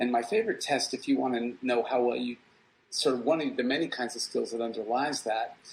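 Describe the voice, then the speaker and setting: A man talks very fast with an American accent. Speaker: psychology professor. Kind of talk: guest talk answering questions.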